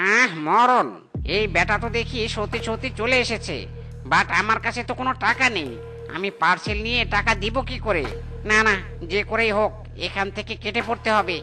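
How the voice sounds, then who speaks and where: Raised and projected, a man's high-pitched cartoonish character voice rings out over clear music in the background. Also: moderate pace. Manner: whiny, evasive.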